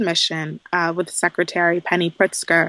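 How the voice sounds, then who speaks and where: In a plain, everyday voice, a woman with an American accent talks at a moderate pace in a fairly low pitch. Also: dry, close sound with no echo. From Southeast Texas. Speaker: former government policy advisor. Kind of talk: casual interview.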